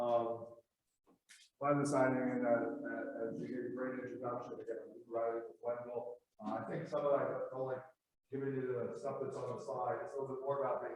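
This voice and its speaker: A man talks fairly quickly, and audible echo from the room can be heard. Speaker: planning consultant. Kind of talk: conference presentation. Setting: conference room with live audience, no microphone. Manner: loud.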